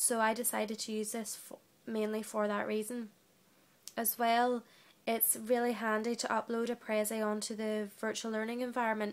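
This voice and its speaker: A woman's fairly high voice at a moderate pace, monotone and flat. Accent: British. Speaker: trainee teacher. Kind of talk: reflective monologue.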